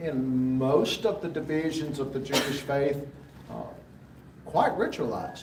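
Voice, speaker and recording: A man with a Southern US accent at a fairly slow pace, amid noticeable background noise and audible room echo. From US South, rural Alabama. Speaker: Bible class teacher. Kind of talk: lecture. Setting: church fellowship hall. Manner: halting, frequent fillers.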